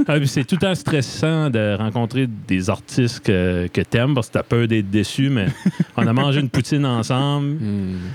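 With very even loudness and lively intonation, a man speaks at a fairly slow pace and a medium pitch. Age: 30s. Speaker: podcast host. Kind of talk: casual interview chat. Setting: basement studio. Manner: animated.

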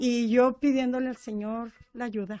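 At a very slow pace, a woman speaks with a high pitch and a dark, mellow tone. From Chihuahua, Mexico. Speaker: church member sharing life story. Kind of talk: testimony.

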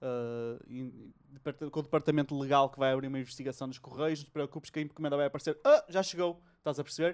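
On a very clean recording with a silent background, a man with a European Portuguese accent speaks at a very fast pace, his fairly high voice held to fairly even intonation. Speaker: podcast host. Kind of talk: casual chat. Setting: home recording during lockdown.

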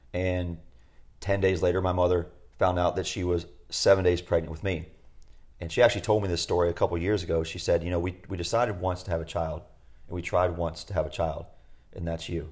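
A man's very deep, low, somewhat breathy voice, very fast yet broken by long, frequent pauses, in monotone, flat intonation. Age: 40s. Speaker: podcast co-host, retreat facilitator. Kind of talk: casual chat.

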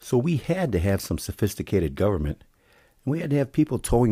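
His voice has a dark, mellow tone and vocal fry, with very wide pitch swings. The man is recorded very cleanly against a silent background. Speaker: podcast host. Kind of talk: solo commentary monologue.

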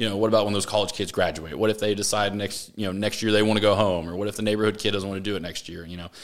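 A man with a Texas accent talks at a very fast pace with hardly any pauses. His fairly low voice stays monotone and flat. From Texas, Austin. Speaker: business owner. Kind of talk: interview. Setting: studio.

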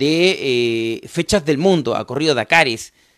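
A man with a Chilean accent, fairly high pitch and an animated tone with very wide pitch swings, on a very clean recording with a silent background and a dry, close sound with no echo. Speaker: motorsport commentator. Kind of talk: live stream chat. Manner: repetitive, stammering.

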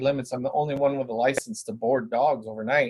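In a Canadian accent, the speaker talks at a very fast pace, somewhat breathy, with ordinary pitch variation. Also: man. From Brantford, Ontario, Canada. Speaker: dog trainer and business owner. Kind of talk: casual interview.

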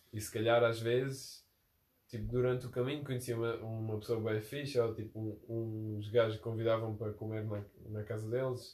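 Somewhat breathy and at medium pitch, a man talks at a moderate pace in a monotone, flat intonation. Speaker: podcast host. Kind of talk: casual chat.

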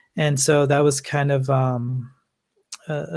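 Somewhat breathy and fairly high-pitched, a man with an American accent speaks with fairly even intonation. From US West Coast, Los Angeles. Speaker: filmmaker. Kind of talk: interview.

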